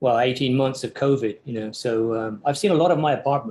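With an English accent, the speaker keeps a moderate pace and fairly even intonation. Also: man. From England. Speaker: architecture professor. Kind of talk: casual interview. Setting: video call. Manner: halting, many fillers.

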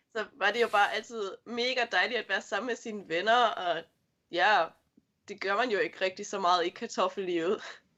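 Bright, sharp tone from a woman at medium pitch against a quiet background. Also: ordinary pitch variation, moderate pace. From Sylt and Flensburg, Germany (Danish minority). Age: 20s. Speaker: kindergarten teacher. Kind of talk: interview.

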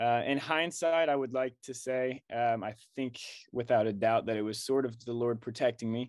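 Against a quiet background, a man uses a normal speaking voice at a medium pitch, with fairly even intonation and a moderate pace. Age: 20s. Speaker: co-working space salesman. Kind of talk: casual chat.

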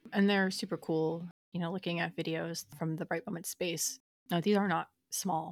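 On a very clean recording with a silent background and a dry, close sound with no echo, a woman talks at a moderate pace with a fairly low pitch and fairly even intonation. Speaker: podcast co-host. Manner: out of breath while talking.

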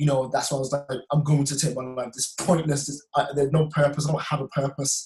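Fairly high for a man and somewhat breathy, his voice carries a West Midlands accent, moving at a fairly quick pace with monotone, flat intonation. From West Midlands, England (Wolverhampton). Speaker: filmmaker and personal trainer. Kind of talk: testimony.

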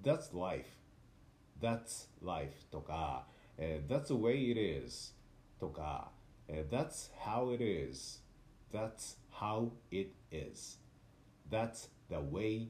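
A man with a dark, mellow tone and vocal fry speaks at a fairly low pitch, with very wide pitch swings, big swings in loudness, and long, frequent pauses. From Tokyo, Japan. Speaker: actor and narrator, podcast host. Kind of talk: casual solo talk.

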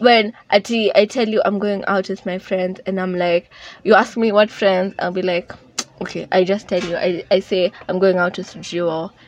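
A woman speaks at a fairly slow pace and medium pitch with fairly even intonation, with noticeable background noise around her. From Kenya. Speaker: podcast host. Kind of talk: casual chat.

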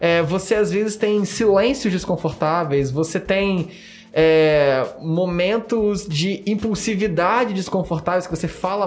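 A man speaks at a high pitch and a fairly slow pace with ordinary pitch variation and hardly any pauses, while music plays in the background. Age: 20s. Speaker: podcast host. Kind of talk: casual chat. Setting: studio.

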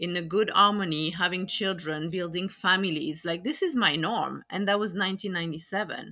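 A woman with a French accent, fairly slow pace and fairly even intonation. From France. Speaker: podcast host. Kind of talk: casual conversation podcast.

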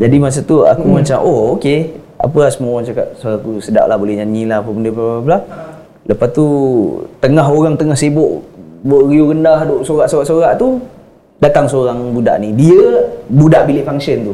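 A man's fairly high, fairly quick speech with ordinary pitch variation, amid noticeable background noise and audible room echo. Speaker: podcast co-host. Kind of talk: casual chat.

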